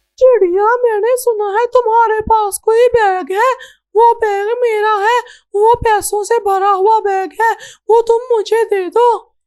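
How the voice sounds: A female-sounding cartoonish character voice, extremely high in pitch, at a fairly slow pace.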